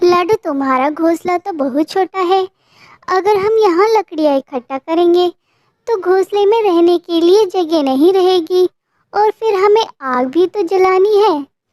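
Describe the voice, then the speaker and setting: This female-sounding cartoonish character voice has an extremely high pitch and moves at a moderate pace. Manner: bossy, scolding.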